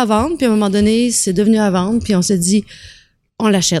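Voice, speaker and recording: A woman's fairly high voice with a Quebec accent and ordinary pitch variation, in a very clean recording with a silent background. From Quebec, Trois-Rivières. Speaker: restaurant entrepreneur. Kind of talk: casual chat.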